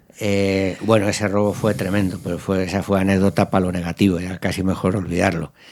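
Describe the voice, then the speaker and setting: A man with a very deep, low pitch talks at a fairly quick pace with hardly any pauses, in a monotone, flat intonation, on a very clean recording with a silent background. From Spain. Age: 60s. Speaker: company founder and business owner. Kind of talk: interview. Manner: halting, with many false starts.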